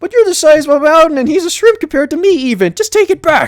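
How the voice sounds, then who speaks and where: In a put-on, squeaky character voice pitched extremely high, a man rattles along at a very fast pace. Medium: game stream.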